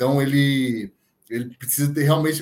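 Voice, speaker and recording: A man talks in a plain, everyday voice. His pitch is fairly high, with ordinary variation. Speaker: football pundit. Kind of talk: casual chat.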